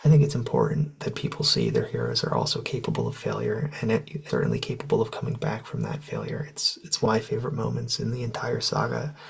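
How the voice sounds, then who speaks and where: Noticeable background noise fills the recording. Through it a man speaks very fast. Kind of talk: soft-spoken ASMR talk to camera. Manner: conversational, opinionated, reflective.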